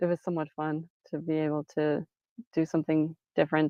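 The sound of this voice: A woman speaks with a low pitch. The sound is dry and close, without any echo.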